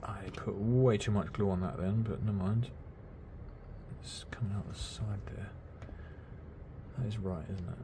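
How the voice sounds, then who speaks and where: A soft-spoken man with a British accent, a fairly low pitch and a dark, mellow tone, somewhat breathy, at a moderate pace with fairly even intonation and long, frequent pauses, in audible room echo. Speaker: miniature hobby youtuber. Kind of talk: casual build tutorial. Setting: home at night, quiet. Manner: quiet, soft-spoken.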